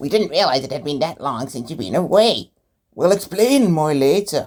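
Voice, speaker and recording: A put-on character voice is used. It moves at a moderate pace. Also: man, fairly high pitch for a man. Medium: read story.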